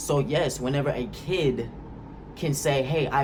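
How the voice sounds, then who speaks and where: With audible room echo, a man talks in an animated tone at a fairly slow pace. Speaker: YouTuber. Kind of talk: vlog monologue. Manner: casual, animated.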